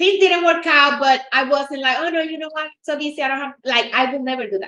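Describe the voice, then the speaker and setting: The voice is raised and projected, with a bright, sharp tone. Its pitch varies in an ordinary way. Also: woman, high pitch for a woman, fairly quick pace. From Latin America. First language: Spanish. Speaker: realtor. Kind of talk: casual chat.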